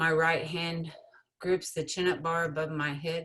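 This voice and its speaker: A woman speaks in an unremarkable speaking voice with a fairly low pitch. Her pace is moderate. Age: 50s. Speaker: writer. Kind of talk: reading aloud.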